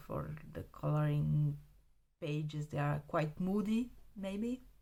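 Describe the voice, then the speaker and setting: With a Romanian accent, a woman speaks at a very slow pace in a very deep, low pitch, her tone dark and mellow and her intonation lively. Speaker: art supply hobbyist video creator. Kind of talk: casual show-and-tell review. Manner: halting, with many fillers.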